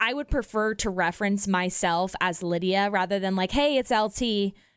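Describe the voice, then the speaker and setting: A woman with a medium-pitched voice speaks in a Midwestern American accent. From Kansas City, US Midwest. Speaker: radio host. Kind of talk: casual chat.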